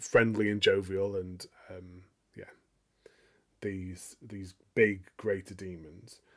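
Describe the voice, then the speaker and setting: The voice belongs to a man. He speaks at a fairly slow pace. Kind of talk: casual chat. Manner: mumbling.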